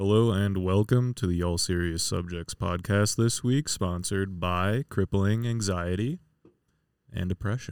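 A man with an American accent uses a normal speaking voice, fairly low in pitch with ordinary pitch variation, at a fairly slow pace, in a dry, close sound with no echo on a very clean recording with a silent background. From Wisconsin. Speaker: podcast co-host. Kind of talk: casual chat. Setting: basement.

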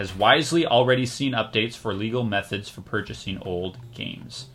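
A man speaks in a plain, everyday voice at a moderate pace. His pitch is medium and his intonation is lively. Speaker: podcast host. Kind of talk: casual chat.

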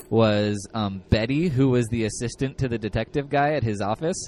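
A man in an ordinary speaking voice, medium pitch, moderate pace and ordinary pitch variation. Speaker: horror podcast host. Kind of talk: casual interview chat.

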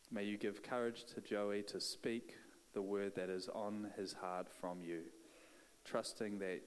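In a New Zealand accent, a man with a fairly low pitch speaks at a fairly slow pace with fairly even intonation. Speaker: church leader. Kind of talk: prayer and introduction. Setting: church.

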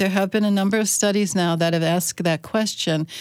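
A woman speaks with an American accent and an ordinary speaking voice. Her pitch is fairly low and her intonation fairly even. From US Mid-Atlantic, Chesapeake Bay of Maryland. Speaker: entomology professor. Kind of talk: radio interview.

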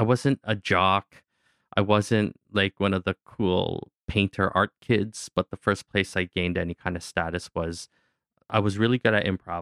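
A man with a Canadian accent speaks at a moderate pace in a plain, everyday voice, with fairly low pitch and fairly even intonation. The sound is dry and close with no echo, on a very clean recording with a silent background. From Canada. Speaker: actor, director and musician. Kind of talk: interview. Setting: studio.

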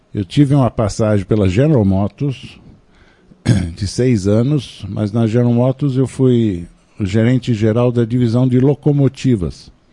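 A man's dark, mellow, medium-pitched voice at a fairly slow pace, with ordinary pitch variation. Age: 70s. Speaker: psychoanalyst. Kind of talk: radio interview, personal travel story.

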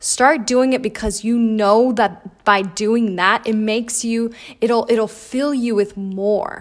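A woman speaks in a normal speaking voice, fairly high-pitched and fairly slow, with ordinary pitch variation on a very clean recording with a silent background. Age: 20s. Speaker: podcast host. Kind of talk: motivational monologue.

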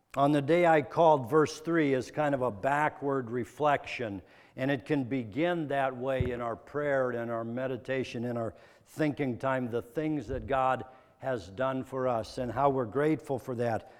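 A man with an unremarkable speaking voice, medium pitch, ordinary pitch variation, and a moderate pace. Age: 40s. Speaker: pastor. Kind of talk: sermon.

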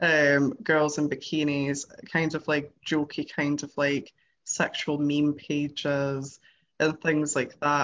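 A woman's very deep, low voice with a British accent and monotone, flat intonation. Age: 20s. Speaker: freelance journalist. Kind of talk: casual chat.

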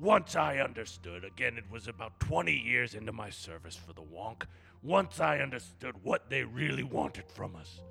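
A man performs a put-on character voice at a fairly low pitch and moderate pace, with very wide pitch swings and big swings in loudness. Clear music plays in the background. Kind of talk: comic overacting. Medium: comedy sketch. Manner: blustering, crude, short-tempered.

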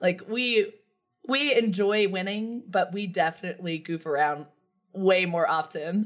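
A woman speaks at a fairly slow pace in an ordinary speaking voice, medium in pitch with ordinary pitch variation. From US South. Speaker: podcast host. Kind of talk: casual chat.

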